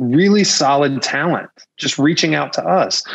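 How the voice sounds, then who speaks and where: A man's voice shows ordinary pitch variation as he goes at a fairly slow pace. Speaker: podcast guest. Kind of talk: interview answer. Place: home room. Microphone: video call.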